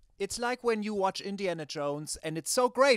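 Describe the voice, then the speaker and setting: A man with a German accent at a moderate pace, dry and close with no echo, on a very clean recording with a silent background. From Germany. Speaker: comedian and musician guest. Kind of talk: casual comedic chat on live stream. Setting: live stream studio.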